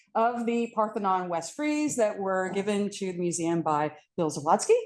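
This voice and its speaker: Lively intonation marks this woman's speech at a moderate pace. Little can be heard behind her. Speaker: art history professor. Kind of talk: panel talk. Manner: loud.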